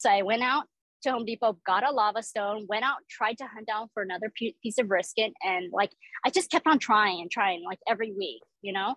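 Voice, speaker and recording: This voice carries a Southern California accent and moves at a fairly quick pace. The sound is dry and close, with no echo. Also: woman, fairly high pitch for a woman, ordinary pitch variation. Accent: General American, Southern California. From Orange County, California. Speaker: pitmaster and restaurant owner. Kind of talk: interview. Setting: outdoors by the barbecue pits.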